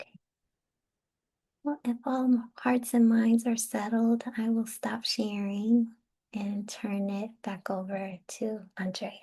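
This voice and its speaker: In a somewhat breathy voice, a woman speaks very slowly with a fairly high pitch, a dark, mellow tone, flat monotone intonation and big swings in loudness. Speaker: spiritual teacher and psychotherapist. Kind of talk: online teaching talk.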